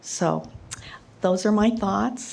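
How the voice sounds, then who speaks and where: A woman speaks with a Midwestern US accent and ordinary pitch variation. Audible room echo fills the recording. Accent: US Midwest. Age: 70s. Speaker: resident speaking at public hearing. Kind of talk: public comment. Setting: council meeting at podium.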